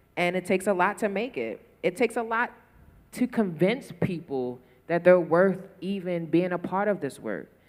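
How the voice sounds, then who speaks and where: The speaker talks at a moderate pace with a Baltimore accent. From Baltimore, US. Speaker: photographer. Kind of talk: panel discussion. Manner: passionate, animated.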